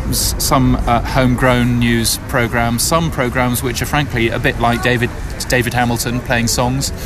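Over background music, a man's speech unfolds at a fairly slow pace. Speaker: radio industry consultant. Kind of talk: casual chat.

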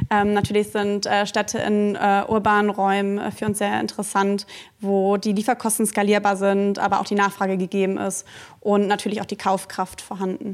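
Speaking with monotone, flat intonation, a woman keeps a moderate pace and a medium pitch. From Germany, Cologne. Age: 30s. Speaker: retail business manager. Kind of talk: live interview with audience. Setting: studio with live audience.

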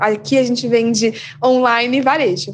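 Background noise is noticeable throughout. A woman's voice comes through over it. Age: 20s. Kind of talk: interview.

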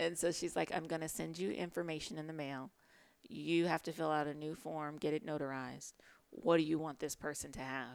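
Fairly quick speech with ordinary pitch variation on a very clean recording with a silent background. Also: woman, very deep, low pitch for a woman. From Chicago, US Midwest. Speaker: TV writer. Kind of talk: casual interview.

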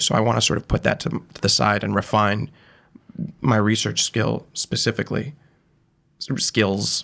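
Vocal fry runs through a man's speech in an American accent. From western Massachusetts, rural. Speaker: first-year PhD student. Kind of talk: casual interview.

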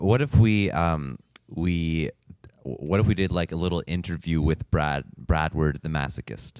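A man speaks at a fairly slow pace in a very deep, low voice with ordinary pitch variation, recorded dry and close with no echo. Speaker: podcast co-host. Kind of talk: casual chat. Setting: studio with microphones.

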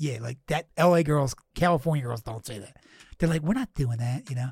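Somewhat breathy, a man with a fairly high pitch rushes along at a very fast pace with lively intonation. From Philadelphia, US East Coast. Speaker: podcast host, comedian. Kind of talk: casual chat, podcast interview. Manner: casual, rambling, profane.

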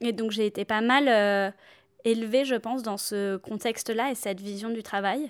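Her voice is a plain, everyday voice, with a woman speaking at a moderate pace, fairly high pitch and fairly even intonation. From southern France. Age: 30s. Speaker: activist, former team manager. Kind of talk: interview.

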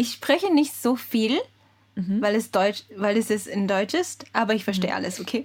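A somewhat breathy woman with a Japanese accent, at a moderate pace with ordinary pitch variation. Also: fairly high pitch for a woman. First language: Japanese (speaking German). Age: 20s. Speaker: podcast co-host, translation company employee. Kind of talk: casual chat. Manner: halting.

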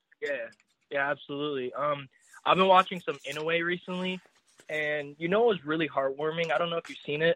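This is a plain, everyday voice, a man with an American accent and a fairly high pitch. He talks at a fairly quick pace with fairly even intonation. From Indiana, US. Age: young. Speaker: caller to boxing podcast. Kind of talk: casual chat. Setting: phone call.

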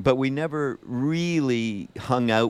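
A man speaks with lively intonation. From Montreal, Quebec. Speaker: film producer. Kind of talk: interview. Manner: halting.

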